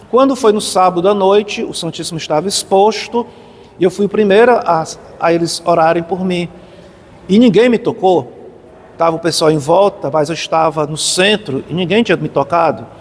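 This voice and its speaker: Noticeable background noise sits behind a man with a high pitch, who talks at a moderate pace with ordinary pitch variation. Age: 60s. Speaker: pilgrim. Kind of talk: testimony. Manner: halting.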